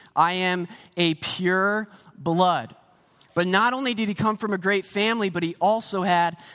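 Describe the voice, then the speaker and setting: A man's high, raised and projected voice with an American accent, bright and sharp in tone, at a moderate pace with ordinary pitch variation, on a very clean recording with a silent background. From US, Pennsylvania. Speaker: pastor. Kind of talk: sermon. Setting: church stage with congregation. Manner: casual, conversational preaching.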